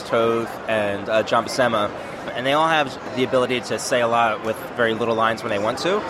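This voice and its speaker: Over noticeable background noise, a man with an American accent talks at medium pitch and a fairly quick pace with fairly even intonation. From US East Coast. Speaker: comic artist and writer. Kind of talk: casual interview at a convention.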